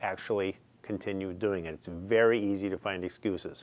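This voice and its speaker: A man talks at a fairly quick pace with a fairly low pitch. His intonation stays fairly even. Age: 60s. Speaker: gym client. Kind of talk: testimonial. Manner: halting, many fillers and repetitions.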